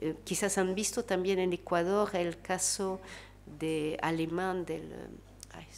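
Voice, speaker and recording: A woman speaks at a very slow pace. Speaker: researcher and panelist. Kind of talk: panel talk. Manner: halting, many fillers.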